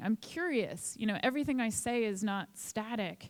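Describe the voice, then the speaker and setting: A woman's plain, everyday voice with an American accent, fairly high in pitch, at a moderate pace with ordinary pitch variation. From Boston, US. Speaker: author and lecturer. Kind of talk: conference talk.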